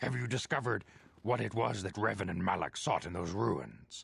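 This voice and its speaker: Putting on a raspy character voice, a man speaks fairly low at a moderate pace. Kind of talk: formal mentor speech. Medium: video game. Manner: measured, solemn.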